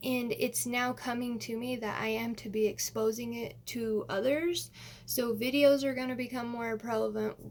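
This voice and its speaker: An unremarkable speaking voice from a woman, fairly high in pitch, at a moderate pace with fairly even intonation. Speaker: astrology vlogger. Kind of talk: casual monologue to camera.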